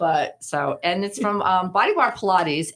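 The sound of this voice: Lively intonation in a Rhode Island accent. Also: woman.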